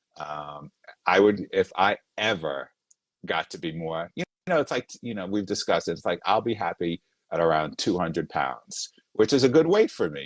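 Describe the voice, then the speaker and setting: The man's moderate-paced speech has a dry, close sound with no echo. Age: 50s. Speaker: TV writer, former fitness client. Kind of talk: interview about weight loss. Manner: halting, many restarts.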